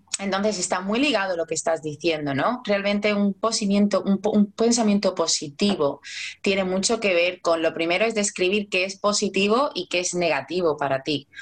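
Speaking with a strong Andalusian accent, a woman uses a medium pitch, ordinary pitch variation and a moderate pace. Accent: strong Cádiz Andalusian. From Cádiz, southern Spain. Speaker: life coach. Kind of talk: casual chat.

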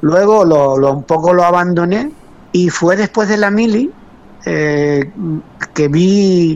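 This man's voice sits high in pitch and moves with ordinary pitch variation. He talks at a fairly slow pace. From Canary Islands, Lanzarote (Arrecife). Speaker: master potter. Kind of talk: interview.

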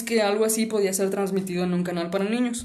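A woman with a Mexican accent and ordinary pitch variation, amid audible room echo. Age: 20s. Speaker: podcast host. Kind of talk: casual chat.

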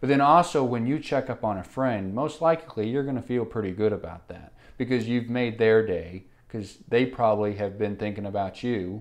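In a plain, everyday voice, a man talks at a moderate pace and medium pitch with ordinary pitch variation against a quiet background. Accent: American. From Oklahoma, Enid. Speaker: barista and small business owner. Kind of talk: casual chat.

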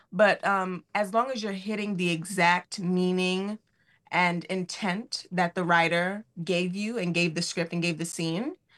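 In a plain, everyday voice with an American accent, a woman talks at a moderate pace and a medium pitch. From New York City (Queens). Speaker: Broadway actress. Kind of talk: interview.

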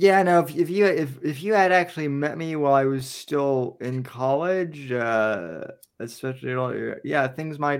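This man talks at a moderate pace in an ordinary speaking voice. His pitch is fairly high, with ordinary variation. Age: 30s. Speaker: podcast host. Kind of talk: casual chat.

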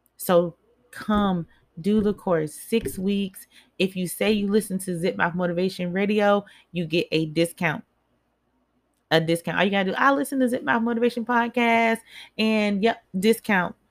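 This is a plain, everyday voice: a woman at a medium pitch with ordinary pitch variation. She talks at a moderate pace, and the sound is dry and close with no echo. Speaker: mindset coach and spoken word poet. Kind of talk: motivational speech. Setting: live online broadcast. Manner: direct and rallying, urging listeners to act.

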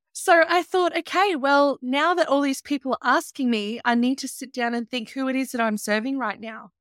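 A woman speaks at a moderate pace with an Australian accent, her pitch high with ordinary variation. The recording is very clean and dry, close-miked with no echo and a silent background. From Australia, Byron Shire, New South Wales. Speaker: travel business owner and podcaster. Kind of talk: casual interview.

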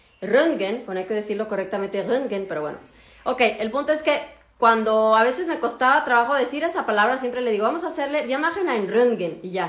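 The speaker talks at a fairly quick pace with lively intonation, and room echo is audible. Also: woman, high pitch for a woman. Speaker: doctor. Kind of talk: casual chat. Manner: hesitant.

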